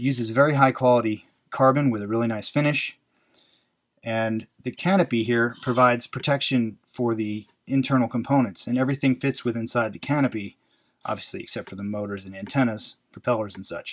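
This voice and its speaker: A man speaks at a fairly quick pace. His pitch varies in an ordinary way over a quiet background. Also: big swings in loudness. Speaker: hobby drone reviewer. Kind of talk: product overview tutorial. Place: workshop.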